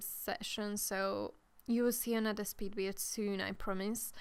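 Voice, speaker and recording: A woman's medium-pitched voice with a Hungarian accent, flat and monotone in intonation. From Hungary. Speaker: gaming youtuber. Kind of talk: voiceover commentary. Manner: halting.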